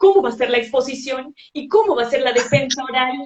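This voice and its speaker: Her intonation lively, a woman talks in a high voice. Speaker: thesis advisor. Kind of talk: live stream host talk. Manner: casual, chatty.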